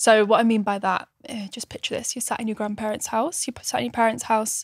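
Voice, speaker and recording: A woman with a northern English accent speaks at a fairly quick pace in a fairly high voice, with big swings in loudness and a dry, close sound with no echo. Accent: British, northern. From northern England. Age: 20s. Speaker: podcast co-host. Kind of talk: casual chat.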